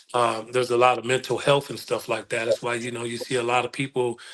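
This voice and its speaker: His intonation stays monotone and flat. The man's voice sits at a medium pitch. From US Midwest (Illinois/Wisconsin area). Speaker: youth mentor. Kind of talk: interview.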